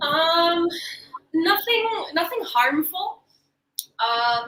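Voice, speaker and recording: A woman with a Canadian accent speaks in a raised, projected voice at an extremely high pitch, with a bright, sharp tone. Her pitch swings very widely, and her pace is very slow. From Canada. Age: 30s. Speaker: actress and producer. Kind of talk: panel Q&A session.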